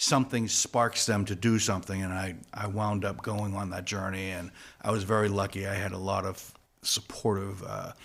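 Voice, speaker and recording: A man speaks with a fairly low pitch and monotone, flat intonation. The recording is very clean, with a silent background. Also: moderate pace. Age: 60s. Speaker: guitarist in a party cover band. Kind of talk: podcast interview. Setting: studio.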